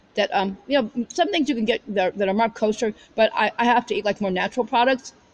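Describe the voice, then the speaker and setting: A woman speaks at a fairly quick pace with a fairly high pitch. Her pitch varies an ordinary amount, and the sound is dry and close with no echo. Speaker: religious video blogger. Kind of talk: casual monologue. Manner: fast; halting, many repetitions.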